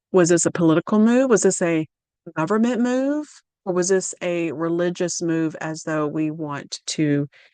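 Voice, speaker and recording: A woman talks with a Southern US accent at a moderate pace. Her fairly low voice has a dark, mellow tone and lively intonation. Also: dry, close sound with no echo. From Louisiana, US South. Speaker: religious video presenter. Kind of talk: prophecy lecture reading documents. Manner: halting, with fillers and self-corrections.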